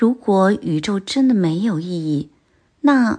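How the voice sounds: Quiet backdrop behind a natural reading voice full of lively intonation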